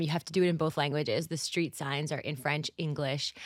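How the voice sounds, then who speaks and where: With a Montreal accent and ordinary pitch variation, a woman is heard in a very clean recording with a silent background. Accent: Canadian English, Montreal. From Montreal, Canada. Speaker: singer. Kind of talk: interview conversation.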